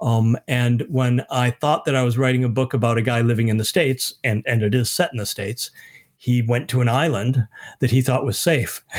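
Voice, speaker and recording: A man with an American accent, medium pitch and a plain, everyday voice, fairly quick pace and fairly even intonation. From US Midwest (Michigan). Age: 50s. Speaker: author. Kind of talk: casual chat. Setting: video call.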